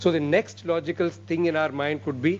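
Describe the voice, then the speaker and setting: Lively intonation runs through this speech in an Indian accent. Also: man. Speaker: medical research lecturer. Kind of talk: lecture. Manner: fast.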